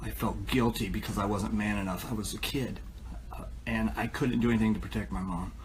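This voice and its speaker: A man with an American accent speaks at a very deep, low pitch with very wide pitch swings. There is audible room echo. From US Midwest, northwest Ohio. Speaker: recovering addict sharing story. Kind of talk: testimony. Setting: live stream. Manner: halting.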